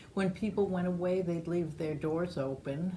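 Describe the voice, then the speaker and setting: The speaker has an American accent and a dark, mellow, somewhat breathy tone, talking at a moderate pace in a monotone, flat intonation with audible room echo. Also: woman. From New York, Long Island (Great Neck). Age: 70s. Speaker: oral history interviewee. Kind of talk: oral history interview.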